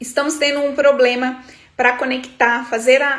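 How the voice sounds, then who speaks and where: In a room with audible echo, a woman with a high pitch talks at a fairly slow pace with monotone, flat intonation. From Brazil, Minas Gerais. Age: 30s. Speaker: eyebrow studio entrepreneur and business coach. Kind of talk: livestream talk to viewers, personal story. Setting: livestream.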